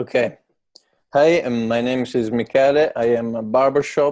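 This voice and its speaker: In an Italian accent, the speaker talks at a moderate pace with fairly even intonation. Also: man. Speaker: barbershop owner, English learner. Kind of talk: interview. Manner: halting, many fillers.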